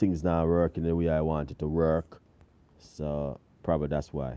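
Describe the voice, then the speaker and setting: A relaxed man with a Jamaican accent and a dark, mellow tone, talking at a moderate pace. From Jamaica, countryside. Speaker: cooking channel host. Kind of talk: live stream chat with viewers. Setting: live stream away from home. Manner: casual, relaxed.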